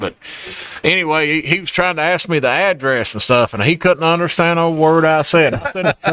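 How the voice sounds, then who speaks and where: Over noticeable background noise, a man with a strong Appalachian accent talks at a very fast pace and a fairly high pitch. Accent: thick Eastern Kentucky Appalachian. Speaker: podcast host and diner owner. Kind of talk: casual chat. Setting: diner, live podcast.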